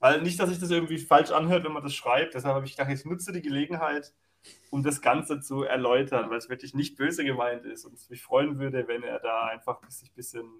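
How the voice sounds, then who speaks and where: A man uses a normal speaking voice, fairly high in pitch with fairly even intonation. His loudness swings widely. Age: 20s. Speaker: water police officer and gaming league admin. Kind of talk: casual chat.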